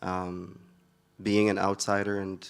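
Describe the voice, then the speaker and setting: A man speaks in a very deep, low pitch with an Arabic accent. The recording is very clean, with a silent background. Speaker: poet. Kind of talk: interview. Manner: hesitant, many filler words.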